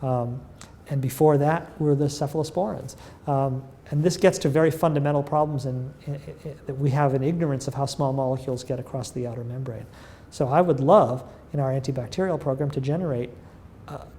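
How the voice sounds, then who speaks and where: A man with an American accent speaks at a fairly quick pace in a fairly high pitch. His tone is dark and mellow, somewhat breathy, with fairly even intonation. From US Northeast (northern Massachusetts, near Lawrence). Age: 60s. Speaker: physician-scientist and pharma research executive. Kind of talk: interview. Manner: hesitant, many fillers.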